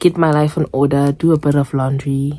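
A woman speaks at a fairly slow pace. Her tone is dark and mellow, with a very deep, low pitch. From South Africa. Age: 20s. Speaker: lifestyle vlogger. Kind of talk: casual vlog talk to camera.

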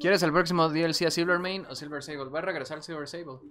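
Noticeable noise sits in the background. The speech moves at a very fast pace. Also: man. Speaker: gaming streamer. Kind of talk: casual chat.

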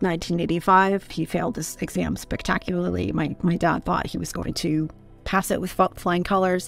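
A woman at a fairly low pitch and moderate pace with fairly even intonation, dry sound with no echo and faint music in the background. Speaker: interview guest. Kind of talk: personal story interview answer. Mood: serious, reflective. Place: home room. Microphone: studio mic.

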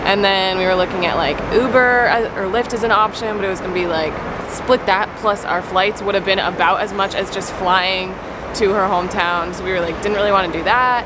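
Loud background noise surrounds a dry sound with no echo, delivered at a moderate pace. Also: woman. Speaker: vlogger. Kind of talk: casual vlog chat. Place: garage. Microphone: phone near.

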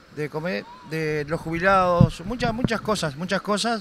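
A man speaks at a high pitch with light background noise. The sound is dry with no echo. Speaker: interviewee. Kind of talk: interview answer. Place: street. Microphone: handheld.

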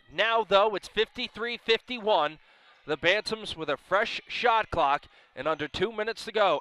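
A man projects a raised voice at a high pitch with a bright, sharp tone and ordinary pitch variation. He goes at a fairly slow pace, and the sound is dry with no echo. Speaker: play-by-play broadcaster. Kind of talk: live sports commentary in a demo reel. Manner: rising, punchy calls at big moments. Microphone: headset.

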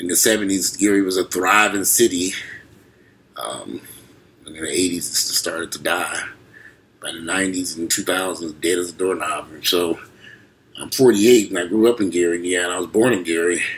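A man with a very deep, low pitch speaks at a fairly quick pace with fairly even intonation. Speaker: vlogger. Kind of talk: casual vlog chat. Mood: disappointed, reflective. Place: home room. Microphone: webcam.

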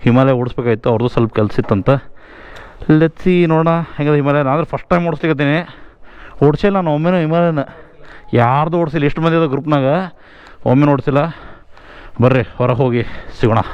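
This man's fairly high voice shows ordinary pitch variation, and the sound is dry with no echo. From North Karnataka. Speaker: motovlogger rider. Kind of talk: casual vlog chat. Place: motorbike. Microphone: helmet.

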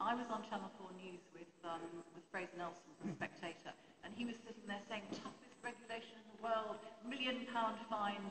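With a British accent, a woman talks at a fairly quick pace in a fairly high pitch with ordinary pitch variation, her loudness swinging widely over noticeable background noise. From England. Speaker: press reform campaigner; panellist. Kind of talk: panel Q&A. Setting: stage with audience. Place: hall. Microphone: handheld.

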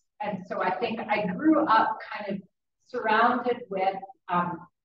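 A woman is speaking in a space with strong room echo. Light background noise is audible. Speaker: pastor. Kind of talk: informal talk to a church group. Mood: calm, reflective. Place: hall. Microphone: camera far.

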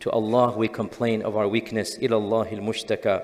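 Monotone, flat male speech at a medium tempo. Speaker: preacher. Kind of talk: sermon. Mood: grave, consoling. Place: church. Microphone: headset.

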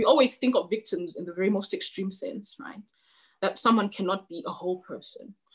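At a fairly quick pace, this somewhat breathy voice shows big swings in loudness. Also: woman, ordinary pitch variation, quiet background. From Zimbabwe. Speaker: novelist; guest. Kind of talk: author interview with reading aloud. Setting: webinar video call. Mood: calm, reflective. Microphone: video call.

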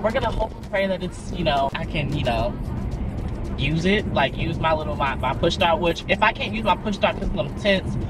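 A man talks at a moderate pace over clear background music, and the sound is dry with no echo. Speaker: vlogger. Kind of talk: casual vlog chat. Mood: irritated, animated. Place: car. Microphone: phone near.

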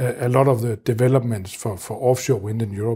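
Somewhat breathy and dark, mellow in tone, a man talks at a fairly quick pace with fairly even intonation. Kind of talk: interview answer. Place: office. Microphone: lapel.

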